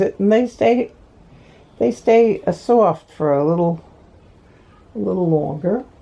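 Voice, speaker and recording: A woman's dark, mellow voice moves through very wide pitch swings at a fairly slow pace. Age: 80s+. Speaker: amateur painter. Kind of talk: casual video diary. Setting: hospital bed at home.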